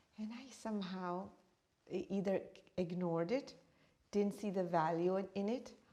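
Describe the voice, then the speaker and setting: A woman speaks in a medium pitch with an East African accent and a dark, mellow tone. Her pace is moderate, her pitch variation ordinary, and her pauses long and frequent. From born in Uganda, raised partly in India, then New York. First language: Swahili. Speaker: meditation teacher and author. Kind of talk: interview.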